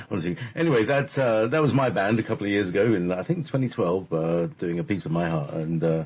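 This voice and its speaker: A man with an English accent speaks at a very fast pace, barely pausing. His fairly low voice swings very widely in pitch. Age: 50s. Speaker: radio host. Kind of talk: casual chat. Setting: live radio show. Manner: hesitant, many fillers.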